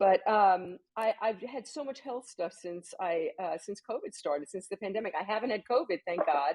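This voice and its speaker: With a plain, everyday voice, a woman talks at a moderate pace and medium pitch, hardly pausing at all. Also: lively intonation. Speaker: author and talk show host. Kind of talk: interview chat.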